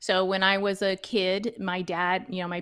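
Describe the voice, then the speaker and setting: This woman has an American accent and a normal speaking voice. Her pitch sits at a medium level with fairly even intonation. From US South, suburban Dallas, Texas. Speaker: backyard chicken keeper and online educator. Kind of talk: interview.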